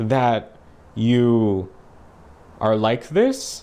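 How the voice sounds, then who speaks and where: The speaker is a man. He talks with a Canadian accent. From Canada, Alberta. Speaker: reaction video host. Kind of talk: reaction commentary. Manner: animated.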